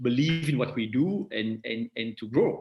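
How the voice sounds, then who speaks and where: A man speaks at a moderate pace in a non-native accent, his pitch medium with ordinary variation. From Belgium. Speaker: tech company executive. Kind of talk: interview. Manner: halting with repetitions.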